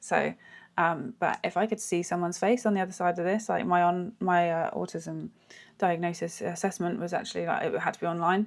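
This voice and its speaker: Vocal fry marks this woman's speech, delivered at a fairly quick pace. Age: 30s. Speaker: vlogger. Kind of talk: casual vlog monologue. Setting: at home doing makeup, talking to camera. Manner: monotone; halting, many fillers.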